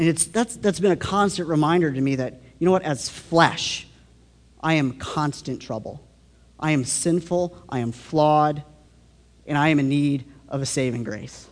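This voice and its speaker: Here a man with a normal speaking voice and fairly high pitch talks at a moderate pace with ordinary pitch variation. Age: 20s. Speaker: youth pastor, guest preacher. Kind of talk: sermon. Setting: church.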